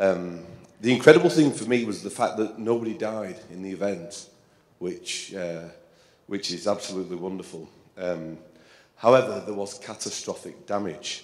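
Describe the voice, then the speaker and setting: With an English accent, a man speaks at a moderate pace in a fairly low voice with ordinary pitch variation and big swings in loudness, with audible room echo. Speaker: composer and percussionist. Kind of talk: talk to concert audience. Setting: stage with audience. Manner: halting, with many fillers.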